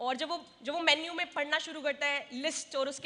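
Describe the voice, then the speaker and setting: A woman's raised, projected voice, high in pitch, at a moderate pace. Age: 30s. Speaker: community organization speaker. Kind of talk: convention speech.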